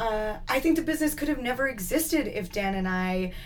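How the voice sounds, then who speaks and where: Amid audible room echo, a woman with a Canadian accent speaks at a moderate pace with ordinary pitch variation. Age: 20s. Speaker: entrepreneur. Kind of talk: interview.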